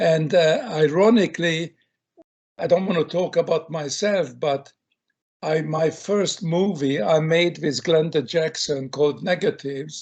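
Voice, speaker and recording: A man speaks with a Hungarian accent at a fairly slow pace. His voice is fairly high for a man, with ordinary pitch variation. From Hungary. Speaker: film director. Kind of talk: interview.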